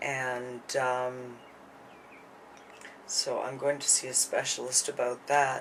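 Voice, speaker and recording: Mumbled words come at a very slow pace in a flat monotone, broken by long, frequent pauses. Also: woman, very deep, low pitch for a woman. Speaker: vlogger sharing her illness. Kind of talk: personal vlog monologue. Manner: halting, many fillers; mumbling.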